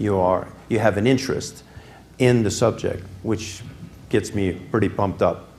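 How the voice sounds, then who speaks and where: Speaking very slowly with audible room echo, a man with a dark, mellow tone and fairly low pitch shows ordinary pitch variation. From Quebec, Canada. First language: French (speaking Spanish). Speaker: business executive, guest speaker. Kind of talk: lecture.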